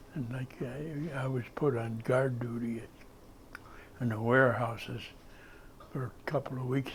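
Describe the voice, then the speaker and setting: Medium-pitched male voice with an American accent, somewhat breathy and monotone, flat in intonation. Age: 80s+. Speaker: war veteran. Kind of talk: interview answer. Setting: library.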